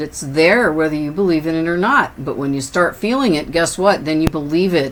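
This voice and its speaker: Through noticeable background noise, a woman speaks at a fairly quick pace. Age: 60s. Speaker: tarot reader. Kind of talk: tarot reading. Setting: indoors with windows open.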